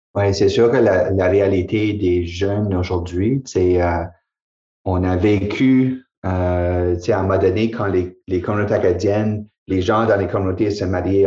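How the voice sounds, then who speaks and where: At a fairly slow pace, a man speaks with a dark, mellow tone, a fairly low pitch and a somewhat breathy sound. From New Brunswick, Acadia. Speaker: college president. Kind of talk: casual chat.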